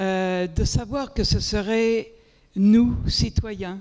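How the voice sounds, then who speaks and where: A woman speaks with a dark, mellow tone. Her recording is very clean, with a silent background. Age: 70s. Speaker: community food project member. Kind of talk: panel discussion testimony.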